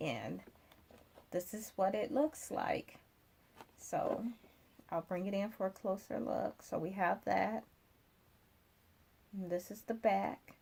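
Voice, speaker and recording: A woman speaks very slowly at a medium pitch, with vocal fry. Her pitch varies in an ordinary way. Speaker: crafting YouTuber. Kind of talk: tutorial. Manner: casual, hesitant with fillers.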